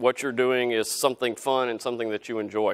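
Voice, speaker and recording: A man with a Southern US accent on a very clean recording with a silent background, the sound dry and close with no echo. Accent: southern drawl. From US South (Helena, Arkansas). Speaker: company CEO. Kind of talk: guest lecture. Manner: casual, many fillers.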